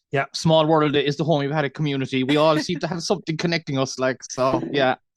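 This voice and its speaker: A man with a Cork accent, fairly high pitched, at a very fast pace with fairly even intonation, in a dry, close sound with no echo. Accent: Irish, Cork. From Ireland, Cork. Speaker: dairy farmer. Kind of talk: podcast interview.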